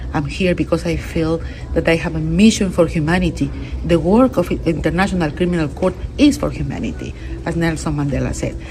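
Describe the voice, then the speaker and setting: A woman with a Spanish accent talks at a fairly quick pace. Noticeable background noise is present. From Peru. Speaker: international court judge. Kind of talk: interview. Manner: halting, with repetitions and fillers.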